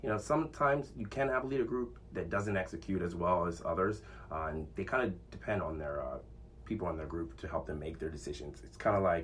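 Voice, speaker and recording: With audible room echo, a man speaks at a fairly quick pace in a very deep, low pitch with very wide pitch swings. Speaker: podcast host. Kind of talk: casual monologue. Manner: loud; confident.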